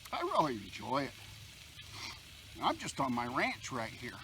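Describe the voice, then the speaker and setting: A man at a moderate pace, with noticeable noise in the background. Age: 60s. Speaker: bushcraft outdoors vlogger. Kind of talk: casual vlog monologue while cooking. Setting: outdoors at a campfire.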